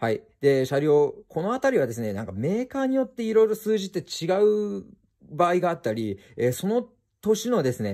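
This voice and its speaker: A man's dark, mellow voice with very wide pitch swings, a fairly quick pace, and a quiet background. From Japan. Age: 20s. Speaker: car and motorcycle YouTuber; motorcycle YouTuber. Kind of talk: explanatory vlog. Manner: polite, filler-heavy.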